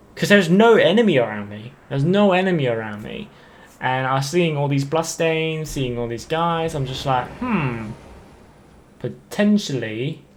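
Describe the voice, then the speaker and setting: In audible room echo, a man with a fairly high pitch speaks at a moderate pace with lively intonation. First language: not English. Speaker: gaming YouTuber. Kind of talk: gameplay commentary. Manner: halting, many fillers and repeats; casual.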